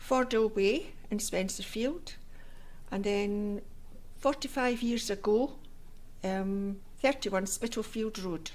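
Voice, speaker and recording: In a Scottish accent, a woman reads at a very slow pace with long, frequent pauses. Her pitch is fairly high, with ordinary pitch variation. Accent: Scottish (Fife). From Scotland, Fife (Inverkeithing). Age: 70s. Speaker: oral history interviewee. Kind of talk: oral history interview. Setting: civic centre room.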